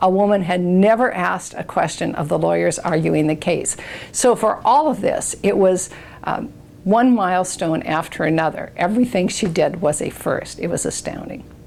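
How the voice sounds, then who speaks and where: A woman's medium-pitched voice carries vocal fry. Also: ordinary pitch variation, moderate pace. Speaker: retired state supreme court justice, former Supreme Court law clerk. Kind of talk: oral history interview answer. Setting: interview recording.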